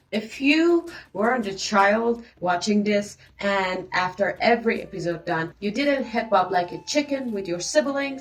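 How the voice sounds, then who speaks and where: With a non-native accent, a woman speaks fairly slowly at medium pitch with lively intonation. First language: not English. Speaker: reaction youtuber. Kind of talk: casual reaction commentary. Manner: halting, repeats words. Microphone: no microphone, recorded on camera and phone.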